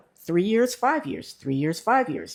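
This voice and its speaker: A woman with a fairly low pitch and a Mid-Atlantic accent, on a very clean recording with a silent background. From US, Baltimore, Maryland. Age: 60s. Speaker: retired engineer and expat. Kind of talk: interview.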